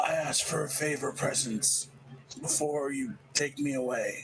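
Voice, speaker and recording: A man puts on a raspy character voice at a fairly high pitch. Background noise is clearly heard. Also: moderate pace. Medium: actual play.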